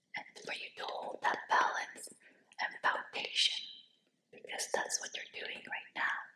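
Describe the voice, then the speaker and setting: A woman whispers at a very slow pace. Her tone is soothing. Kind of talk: hypnosis guided relaxation. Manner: whispered, soothing.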